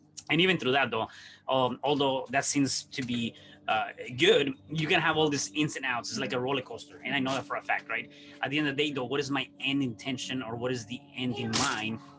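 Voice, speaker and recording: A man speaks with a Mexican accent. Music plays behind him. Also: medium pitch for a man, ordinary pitch variation, fairly quick pace. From Mexico City, Mexico. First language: Spanish. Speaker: entrepreneur. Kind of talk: podcast interview. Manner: hesitant, many fillers and repeats.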